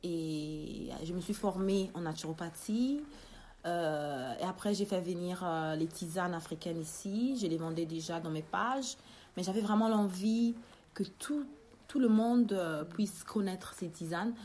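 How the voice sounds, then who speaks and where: A woman with a dark, mellow tone and medium pitch talks at a fairly slow pace with lively intonation. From Italy, Rome, Congolese family. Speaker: business owner. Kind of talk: interview.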